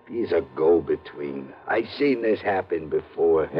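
A man mumbles in a put-on character voice. His pace is fairly slow. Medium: old radio play. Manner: terse, mumbling, uneducated street talk.

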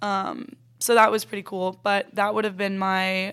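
A woman has an unremarkable speaking voice. She talks at a moderate pace with a medium pitch. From Florida. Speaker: college volleyball player. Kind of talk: casual interview.

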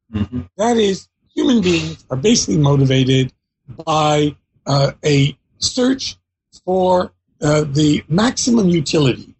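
A man speaks at a fairly slow pace, his voice somewhat breathy. His loudness stays very even while his pitch swings very widely. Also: fairly high pitch for a man. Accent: American. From US, Philadelphia. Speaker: history professor. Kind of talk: interview.

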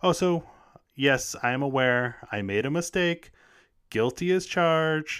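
A man with an American accent speaks fairly slowly in an ordinary speaking voice, pitched fairly high for a man with ordinary pitch variation. The recording is very clean with a silent background. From United States. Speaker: podcast host. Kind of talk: casual chat.

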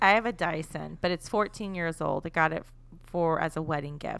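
Very deep, low pitch from a woman, on a very clean recording with silence in the background. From Texas. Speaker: comedy podcaster. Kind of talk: casual chat.

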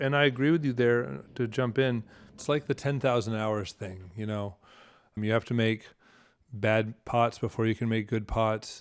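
A man talks in an unremarkable speaking voice at a medium pitch and a moderate pace. His pitch variation is ordinary, and the recording is very clean with a silent background. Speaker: potter and teacher. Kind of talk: interview conversation.

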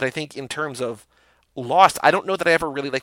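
In a very clean recording with a silent background and a dry, close sound with no echo, a man speaks at a medium pitch with a bright, sharp tone and ordinary pitch variation. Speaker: podcaster. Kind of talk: casual chat.

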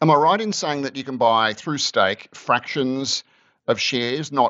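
At a fairly slow pace, a man speaks with an Australian accent. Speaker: podcast host. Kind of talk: interview.

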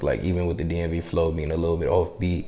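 A man's very deep, low voice in an American accent, with noticeable background noise and audible room echo. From US, DC/Maryland/Virginia area. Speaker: rapper and audio engineer. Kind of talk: casual interview.

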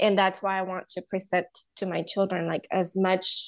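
In a Spanish accent, a woman speaks at a fairly slow pace with medium pitch. The background is quiet. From Honduras. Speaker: counselor and bilingual education business owner. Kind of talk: interview.

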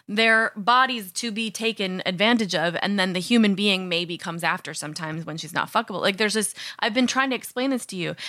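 A woman with an American accent and medium pitch talks very fast in a bright, sharp tone. The recording is very clean, with a silent background. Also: ordinary pitch variation, hardly any pauses. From US Midwest. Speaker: podcast co-host. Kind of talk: casual chat.

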